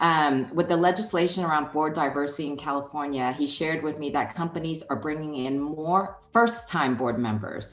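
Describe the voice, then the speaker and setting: In a Chinese accent, a woman talks at a moderate pace. Her pitch is very deep and low, with ordinary variation. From Hong Kong. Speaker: HR executive. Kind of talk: interview.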